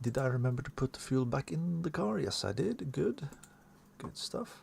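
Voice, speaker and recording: With lively intonation, a man speaks at a moderate pace in a medium-pitched, somewhat breathy voice. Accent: non-native. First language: not English. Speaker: sim racing streamer. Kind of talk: live gameplay commentary. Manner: halting, self-correcting.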